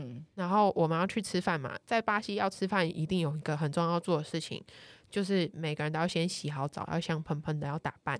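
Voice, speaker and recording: A woman's normal speaking voice, fairly low in pitch, with ordinary pitch variation at a fairly quick pace on a very clean recording with a silent background. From Taiwan. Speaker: travel columnist. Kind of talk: casual chat.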